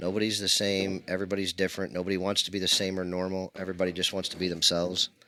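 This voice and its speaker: A man speaks loudly at a very fast pace, his pitch very deep and low. His tone is bright and sharp, and his intonation monotone and flat. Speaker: pool stream commentator. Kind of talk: casual chat. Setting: streaming booth beside pool table.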